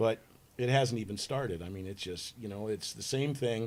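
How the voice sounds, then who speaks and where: His intonation is lively, his voice somewhat breathy. The man talks at a moderate pace. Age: 60s. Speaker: podcast guest. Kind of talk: casual discussion.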